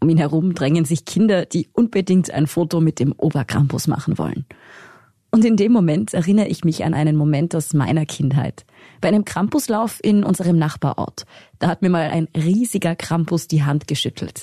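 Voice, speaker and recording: A woman speaks in a dark, mellow, somewhat breathy tone at a fairly low pitch, with ordinary pitch variation and a moderate pace. Her loudness stays very even, in a dry, close sound with no echo. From Tyrol, Pitztal valley. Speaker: journalist, podcast co-host. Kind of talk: scripted narration.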